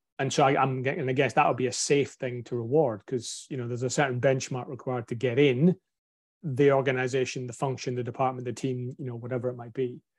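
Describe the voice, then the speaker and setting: Very fast and in a strong Scottish accent, a man of medium pitch talks with monotone, flat intonation and big swings in loudness against a quiet background. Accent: broad Scottish. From Scotland. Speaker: podcast host. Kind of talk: casual interview chat.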